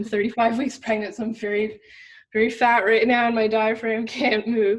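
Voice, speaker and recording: A woman talks at a moderate pace in a somewhat breathy, fairly high voice. Her intonation is monotone and flat. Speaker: women's health coach. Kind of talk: interview conversation. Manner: breathless, pausing to catch breath.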